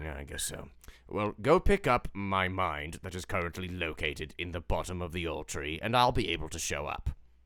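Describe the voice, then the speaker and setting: This man puts on a character voice pitched very deep and low. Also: moderate pace. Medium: actual play. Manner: weary, sighing.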